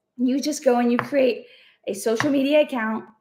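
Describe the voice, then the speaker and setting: A loud, energetic voice with an American accent at a moderate pace. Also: woman. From Texas. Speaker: online business coach. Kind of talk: live stream.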